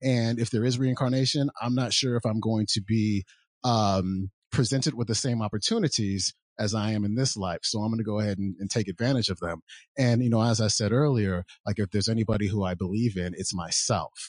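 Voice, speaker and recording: Against a quiet background, a man with an unremarkable speaking voice talks fairly quickly at a fairly low pitch, his intonation fairly even and the sound dry and close with no echo. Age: 40s. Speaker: podcaster and entrepreneur. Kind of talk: casual interview chat.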